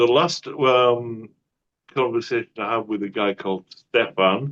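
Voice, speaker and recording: A man in a Cumbrian accent speaks at medium pitch and a fairly slow pace. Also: ordinary pitch variation. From northern England. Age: 60s. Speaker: atheist channel host. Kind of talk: debate discussion. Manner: slower than usual.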